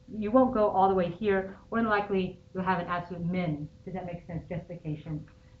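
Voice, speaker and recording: Audible room echo surrounds a woman speaking at a very fast pace. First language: not English. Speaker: high school math teacher. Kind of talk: classroom lecture. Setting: classroom. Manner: conversational, many fillers.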